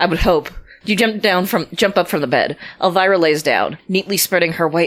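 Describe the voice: The clip is plain reading aloud.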